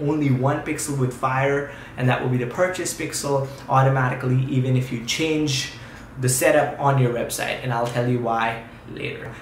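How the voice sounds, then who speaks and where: Here a man speaks at a medium pitch with fairly even intonation. There is audible room echo and noticeable background noise. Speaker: YouTube tutorial creator. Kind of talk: tutorial. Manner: fast.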